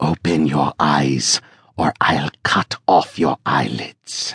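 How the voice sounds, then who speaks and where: A man's voice with vocal fry, dry and close with no echo. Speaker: audiobook narrator. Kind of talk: dramatic audiobook narration, thriller.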